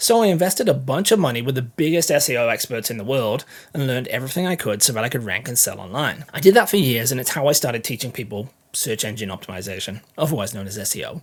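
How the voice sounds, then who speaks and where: Very fast and somewhat breathy, a man speaks with lively intonation and big swings in loudness. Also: medium pitch for a man. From England. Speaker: content marketing educator. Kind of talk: tutorial.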